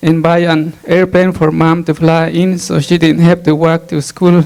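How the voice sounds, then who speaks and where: A man's high voice in monotone, flat intonation, with noticeable background noise. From Guatemala, rural Mayan village. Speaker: adult literacy learner. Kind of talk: personal testimony speech. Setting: ceremony with audience. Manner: halting, with repetitions.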